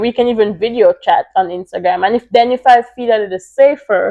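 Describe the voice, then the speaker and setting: High-pitched woman at a moderate pace with very wide pitch swings. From Jamaica. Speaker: podcast co-host. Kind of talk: casual chat.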